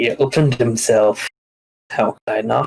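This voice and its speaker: A man's put-on character voice, medium in pitch, at a moderate pace. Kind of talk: theatrical game roleplay. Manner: dark, sinister, menacing.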